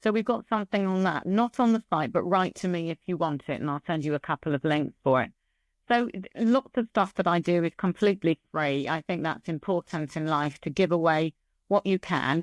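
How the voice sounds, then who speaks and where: With ordinary pitch variation, a woman is heard in a dry, close sound with no echo on a very clean recording with a silent background. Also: fairly low pitch for a woman, fairly quick pace. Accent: English. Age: 60s. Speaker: business psychologist. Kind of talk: interview. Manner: animated.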